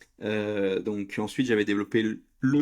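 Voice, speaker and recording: Fairly low-pitched male speech on a very clean recording with a silent background. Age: 30s. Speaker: entrepreneur. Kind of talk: interview. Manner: halting, many fillers.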